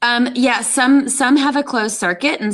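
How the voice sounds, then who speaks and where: This woman talks with an American accent and ordinary pitch variation. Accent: Southern US (Tennessee), kept in check. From US South, Tennessee (Memphis). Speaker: film production teacher. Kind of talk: podcast interview.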